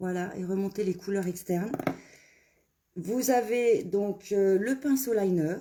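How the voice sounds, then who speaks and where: A woman speaks at a very slow pace with long, frequent pauses. Her medium pitch shows ordinary pitch variation. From Burgundy, Saône-et-Loire, France. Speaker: make-up brand ambassador. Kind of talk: live make-up tutorial and sales pitch. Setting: Facebook live stream. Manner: hesitant, many fillers.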